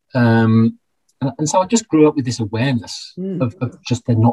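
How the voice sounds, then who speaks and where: Somewhat breathy and dark, mellow in tone, a man of medium pitch speaks with a Birmingham accent. He goes at a fairly quick pace with ordinary pitch variation, the sound dry and close with no echo. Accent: Birmingham (Brummie) English. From Birmingham, England. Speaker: financial planner and accountant. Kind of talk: interview conversation. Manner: halting, many repetitions.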